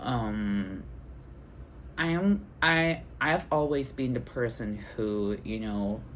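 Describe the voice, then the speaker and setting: In a Thai accent, the speaker talks at a very slow pace. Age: 20s. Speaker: vlogger. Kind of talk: personal vlog. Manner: halting, many fillers.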